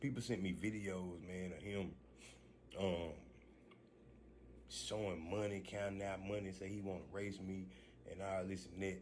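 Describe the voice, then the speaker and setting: A man talks in a very deep, low pitch with fairly even intonation. Long, frequent pauses and audible room echo fill the recording. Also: moderate pace. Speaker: street car racer and vlogger. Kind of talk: casual vlog talk. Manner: soft-spoken.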